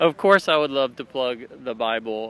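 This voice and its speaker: At a fairly slow pace, a man speaks in a Southern US accent. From Alabama. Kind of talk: street interview. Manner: hesitant, many fillers.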